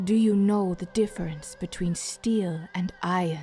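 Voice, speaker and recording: A put-on character voice speaks at a moderate pace with clear music in the background. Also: female-sounding voice, medium pitch for a woman. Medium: read story.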